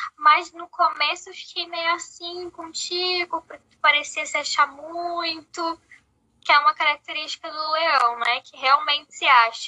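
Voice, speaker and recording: A woman with an extremely high pitch and a bright, sharp tone uses a raised, projected voice at a fairly slow pace, with ordinary pitch variation and big swings in loudness. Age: 20s. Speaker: podcast co-host. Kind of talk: casual chat.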